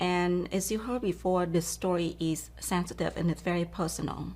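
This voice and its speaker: This woman speaks at a moderate pace with a Vietnamese accent. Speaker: keynote speaker and author. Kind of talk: interview.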